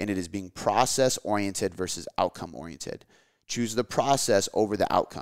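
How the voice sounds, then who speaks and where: On a very clean recording with a silent background, a man talks very fast in an animated tone at a fairly low pitch with ordinary pitch variation. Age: 20s. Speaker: fitness podcast host. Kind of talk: casual chat.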